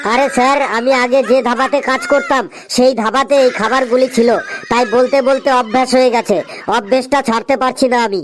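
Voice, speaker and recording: A man's cartoonish character voice at an extremely high pitch. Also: moderate pace. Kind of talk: comic cartoon dubbing. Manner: brash, rude.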